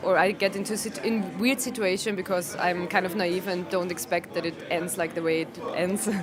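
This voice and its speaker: A woman speaks at a moderate pace with a medium pitch and ordinary pitch variation. Music plays behind her, and room echo is audible. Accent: Austrian. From Austria. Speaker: comedian. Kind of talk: interview. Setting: comedy venue before a show. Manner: hesitant, many ums and restarts.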